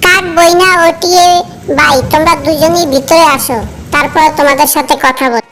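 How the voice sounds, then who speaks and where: A female-sounding, cartoonish character voice sits at a high pitch and keeps a moderate pace. Clear background noise runs behind it. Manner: gentle, earnest.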